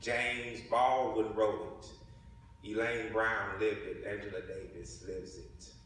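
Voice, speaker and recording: A man with a Southern US accent speaks at a fairly slow pace amid noticeable background noise. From Mississippi. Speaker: writer and ethnographer. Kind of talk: spoken word poetry performance.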